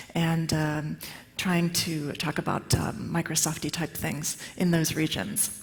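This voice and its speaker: Background music accompanies the recording. The woman talks at a moderate pace. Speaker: tech conference speaker. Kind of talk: conference talk. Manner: many filler words.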